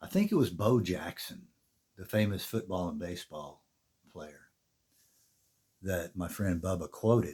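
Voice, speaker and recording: In a very clean recording with a silent background, a man speaks at a fairly slow pace in a very deep, low, somewhat breathy voice with a dark, mellow tone, ordinary pitch variation, big swings in loudness and long, frequent pauses. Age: 60s. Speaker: fitness vlogger. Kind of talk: casual talk to camera. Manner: conversational.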